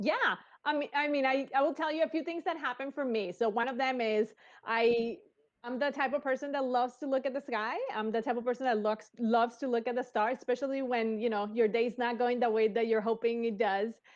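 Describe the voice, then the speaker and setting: Here is a woman with a Spanish accent. She talks at a high pitch and a fairly quick pace. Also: ordinary pitch variation. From Colombia. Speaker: engineer. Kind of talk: interview. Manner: energetic.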